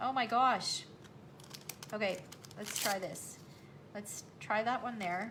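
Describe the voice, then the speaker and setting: A woman with a Canadian accent speaks at a very slow pace with long, frequent pauses, a fairly high pitch and fairly even intonation, amid noticeable background noise and audible room echo. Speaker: craft demonstrator. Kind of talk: live craft tutorial. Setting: livestream.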